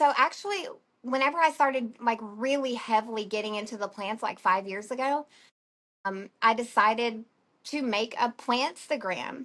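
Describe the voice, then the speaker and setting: With an Alabama accent, a woman speaks at a moderate pace in a fairly high voice, her pitch varying in an ordinary way against a quiet background. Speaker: plant shop owner. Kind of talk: podcast interview.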